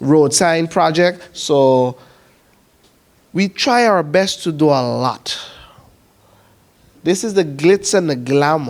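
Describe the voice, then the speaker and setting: A man's fairly high voice in a Sint Maarten accent, at a very slow pace with long, frequent pauses. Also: ordinary pitch variation. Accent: Sint Maarten Caribbean English. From Sint Maarten, Dutch Quarter. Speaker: community council president. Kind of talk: presentation at information session. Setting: evening information session with audience.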